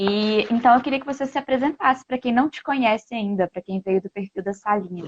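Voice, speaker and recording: A woman's fairly high voice with ordinary pitch variation and a strong Minas Gerais accent. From Minas Gerais, Brazil (Belo Horizonte). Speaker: language school host. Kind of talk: casual chat. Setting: live stream.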